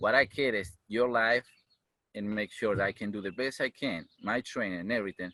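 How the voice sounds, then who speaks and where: A man's fairly low, bright, sharp voice with a Uruguayan accent, at a fairly quick pace, in a dry, close sound with no echo. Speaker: firefighter and EMT. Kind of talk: interview. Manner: animated.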